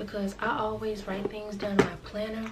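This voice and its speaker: A woman talks fairly slowly, with noticeable noise in the background. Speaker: vlogger. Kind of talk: casual vlog chat. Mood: reflective, easygoing. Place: home room.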